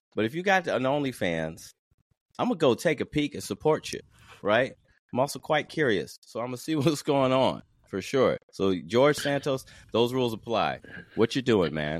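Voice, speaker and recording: A man's medium-pitched voice with an American accent, a moderate pace and very wide pitch swings, on a very clean recording with a silent background. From US South. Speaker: musician and comedian. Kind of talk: casual chat.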